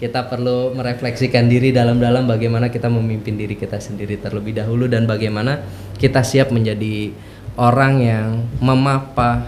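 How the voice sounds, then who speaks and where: In a strong Jakarta accent, a man talks at a fairly quick pace and medium pitch with monotone, flat intonation, and the room echo is audible. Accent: strong Betawi. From Jakarta, Betawi. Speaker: university lecturer. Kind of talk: podcast interview.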